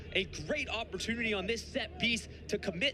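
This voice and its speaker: Noticeable background noise surrounds a man speaking in a raised, projected voice. His pitch is high, with ordinary variation, and his pace is moderate. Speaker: sports play-by-play broadcaster. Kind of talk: sports play-by-play highlight call.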